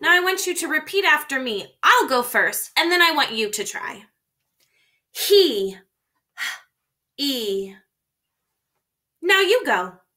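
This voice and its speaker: Speaking very slowly in a raised, projected voice, a woman swings her pitch very widely and leaves long, frequent pauses. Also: quiet background. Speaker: teacher. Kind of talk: lesson for young children. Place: home room. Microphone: webcam.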